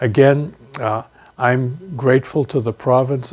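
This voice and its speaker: A man's somewhat breathy voice at a fairly slow pace, with fairly even intonation. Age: 70s. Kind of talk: personal testimony interview.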